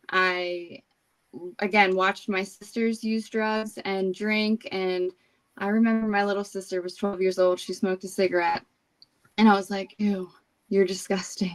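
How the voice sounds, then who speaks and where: With a New Jersey accent, a woman speaks at a fairly slow pace. Her tone is bright and sharp, her intonation fairly even. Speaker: recovering alcoholic sharing her story. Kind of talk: recovery testimony in interview.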